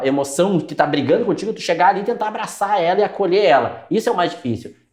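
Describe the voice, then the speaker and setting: A man talks at a very fast pace in a high voice. His intonation is lively. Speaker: psychologist. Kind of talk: casual chat.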